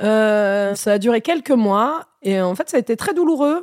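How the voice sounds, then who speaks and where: Lively intonation marks this woman's fairly high pitch and an ordinary speaking voice, captured in a dry, close sound with no echo in a very clean recording with a silent background. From Normandy countryside, then Melun suburbs. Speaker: stand-up comedian. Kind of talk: casual chat.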